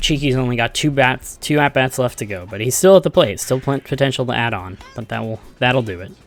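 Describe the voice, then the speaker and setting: A quiet voice at a fairly quick pace, with ordinary pitch variation and music in the background. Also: man. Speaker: esports commentator. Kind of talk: live commentary. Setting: livestream. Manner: subdued, quiet.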